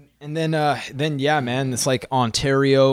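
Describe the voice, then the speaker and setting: A man talks in a Canadian accent at a fairly slow pace, with a medium pitch and a normal speaking voice. The sound is dry and close with no echo. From Canada, Saskatchewan (Saskatoon). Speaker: metal drummer. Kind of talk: casual chat. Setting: remote call.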